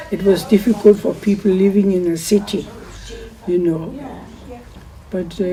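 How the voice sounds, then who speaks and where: A woman's medium-pitched voice with fairly even intonation at a moderate pace, broken by long, frequent pauses over noticeable background noise. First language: German. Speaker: war-time childhood witness. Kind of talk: oral history interview.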